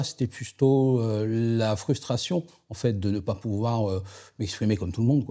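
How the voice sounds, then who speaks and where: On a very clean recording with a silent background, a man speaks very slowly in a dark, mellow tone. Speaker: person who stutters. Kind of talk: interview answer. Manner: stuttering.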